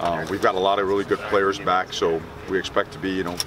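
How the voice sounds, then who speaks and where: A man talking at a very fast pace, the sound dry with no echo, noticeable background noise behind him. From Miami, Florida. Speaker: college football head coach. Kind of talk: press conference. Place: open country. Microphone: handheld.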